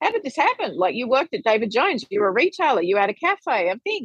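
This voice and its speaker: A woman with an Australian accent at a very fast pace, full of very wide pitch swings, in a dry, close sound with no echo. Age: 40s. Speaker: money educator and author. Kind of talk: podcast interview.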